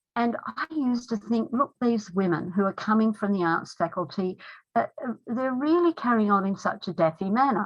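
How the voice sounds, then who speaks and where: A woman's somewhat breathy, fairly high voice at a moderate pace, lively in intonation, with an Australian accent. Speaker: feminist lawyer. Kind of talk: talk.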